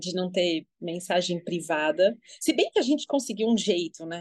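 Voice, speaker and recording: With lively intonation, an ordinary speaking voice goes along at a fairly slow pace. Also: woman. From Brazil, São Paulo. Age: 40s. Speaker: social media user, guest. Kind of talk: casual chat.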